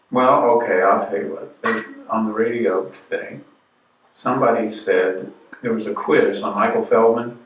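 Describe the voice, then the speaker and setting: A man talks at a moderate pace, with audible echo in the room. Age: 70s. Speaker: discussion group leader. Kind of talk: casual group chat. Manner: halting.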